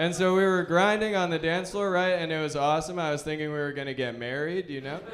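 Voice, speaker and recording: Noticeable background noise is present. The pitch shifts in an ordinary way. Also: man. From Alberta, Canada. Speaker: stand-up comedian. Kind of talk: stand-up comedy set.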